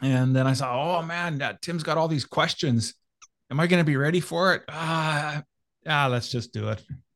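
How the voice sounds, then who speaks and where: A man speaks with a Canadian accent in a fairly high pitch, at a moderate pace with ordinary pitch variation. The recording is very clean, with a silent background. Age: 50s. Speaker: men's mentor and coach. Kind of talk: interview conversation. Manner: halting, many fillers.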